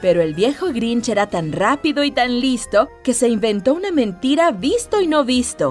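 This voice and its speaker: Very slow speech comes from a woman with an upbeat tone. Music plays in the background. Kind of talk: children's story reading.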